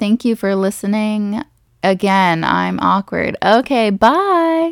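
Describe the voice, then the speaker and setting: Recorded very cleanly against a silent background, a woman's voice sounds dry and close, with no echo. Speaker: podcast host, college advisor. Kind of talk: casual solo podcast, reading quiz questions aloud. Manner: self-deprecating, laughs often; fast.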